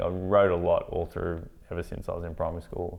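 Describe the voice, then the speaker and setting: A man speaks with an Australian accent at a fairly quick pace. His pitch is very deep and low. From Australia, country Victoria. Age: 30s. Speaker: filmmaker. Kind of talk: interview. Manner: halting.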